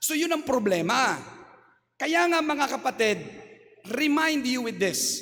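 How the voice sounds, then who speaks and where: A loud, animated man with lively intonation over noticeable background noise. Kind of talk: homily.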